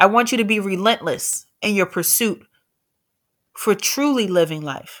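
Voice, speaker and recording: A woman with an American accent at a medium pitch and moderate pace, lively intonation broken by long, frequent pauses, on a very clean recording with a silent background. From New York, the Bronx. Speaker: entrepreneur. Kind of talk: speech.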